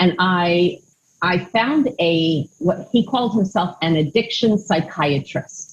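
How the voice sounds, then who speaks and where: A woman speaks at a fairly slow pace with a fairly low pitch. Her voice is somewhat breathy, with ordinary pitch variation. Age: 60s. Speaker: mental health counselor. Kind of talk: testimony.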